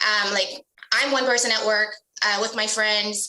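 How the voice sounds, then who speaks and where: Fairly high-pitched female voice, its intonation fairly even. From US, child of immigrants. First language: not English. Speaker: business executive. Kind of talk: interview. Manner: hesitant with fillers.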